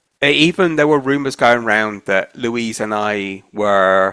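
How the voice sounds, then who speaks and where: In a southern English accent, a man talks at a fairly slow pace and a medium pitch with ordinary pitch variation. The recording is very clean with a silent background, and the sound is dry and close with no echo. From Isle of Wight, southern England. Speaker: oral history interviewee. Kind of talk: oral history interview. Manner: conversational.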